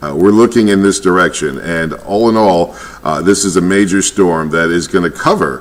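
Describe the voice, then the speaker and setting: A man with an American accent speaks in a normal speaking voice, his pitch fairly low, at a moderate pace. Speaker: weather reporter. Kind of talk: live weather commentary.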